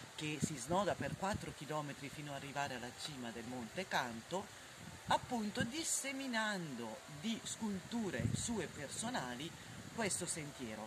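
Loud background noise fills the clip. A woman speaks over it at a fairly slow pace. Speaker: hiking vlogger guide. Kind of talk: casual travel vlog commentary. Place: open country.

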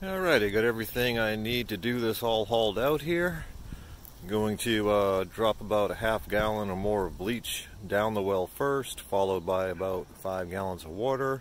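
At a moderate pace, a man with a fairly low pitch and an unremarkable speaking voice talks with ordinary pitch variation, the sound dry with no echo and light background noise. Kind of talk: tutorial. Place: forest. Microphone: phone near.

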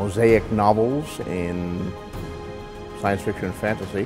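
Clear music plays in the background. The speech moves at a fairly slow pace with fairly even intonation. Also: man. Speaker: author and editor. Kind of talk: promotional interview talk. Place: hall.

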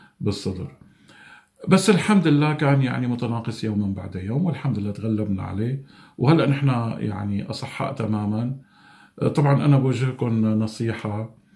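Over a quiet background, a man with a dark, mellow tone talks at a moderate pace, sounding somewhat breathy. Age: 50s. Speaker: COVID-19 survivor. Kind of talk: testimony. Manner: halting. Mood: calm, earnest. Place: home room. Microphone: phone near.

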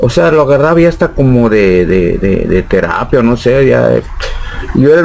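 Delivered in a plain, everyday voice at a fairly quick pace, the speech has light background noise. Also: man. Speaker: rock drummer. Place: shop. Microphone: studio mic.

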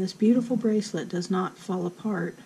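A woman's dark, mellow, somewhat breathy voice at medium pitch, fairly even in intonation and fairly quick in pace. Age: 60s. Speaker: crochet instructor. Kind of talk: tutorial.

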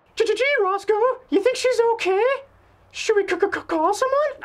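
A put-on character voice, squeaky and extremely high, at a fairly slow pace. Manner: nervous, concerned.

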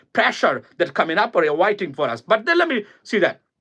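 Raised and projected, a man's high-pitched voice has a bright, sharp tone and very wide pitch swings. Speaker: political commentator. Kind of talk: political monologue. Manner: animated.

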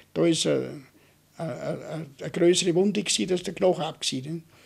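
Against a quiet background, a man with a fairly high pitch and vocal fry speaks at a fairly quick pace. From Austria, Vorarlberg. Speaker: war veteran. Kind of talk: oral history interview. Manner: halting, with repeated filler tags. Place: home room. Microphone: studio mic.

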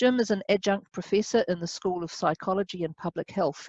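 Over a quiet background, a woman talks at a moderate pace with ordinary pitch variation. The sound is dry, with no echo. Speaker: webinar host. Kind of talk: moderator introduction. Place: office. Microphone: headset.

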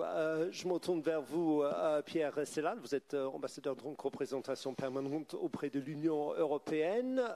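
A man with a fairly high pitch and a dark, mellow tone speaks with hardly any pauses. The sound is dry and close, with no echo. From Britain. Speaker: journalist and moderator. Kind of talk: panel debate moderation. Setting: stage with audience.

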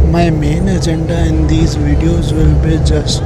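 The pace is moderate as a man talks. Behind him, music can be heard. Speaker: travel vlogger. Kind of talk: casual vlog chat. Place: bus. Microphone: lapel.

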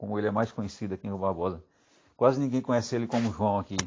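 This is a man speaking. His pitch sits fairly low. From Bahia, Brazil. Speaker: local resident speaking to his uncle. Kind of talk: recorded voice message. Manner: halting, many fillers.

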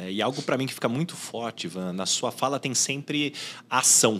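The man's tone is bright and sharp, and his pace is moderate. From Brazil. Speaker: podcast host and headhunter; podcast host. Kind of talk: casual chat. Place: studio. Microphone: studio mic.

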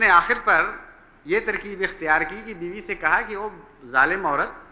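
The speaker is a man. The tone comes across bright and sharp. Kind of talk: sermon. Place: church.

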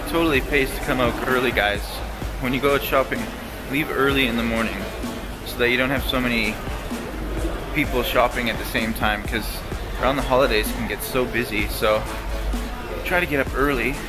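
A man delivers his words fairly quickly, with clear music playing underneath. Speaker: vlogger. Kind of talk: casual vlog chat.

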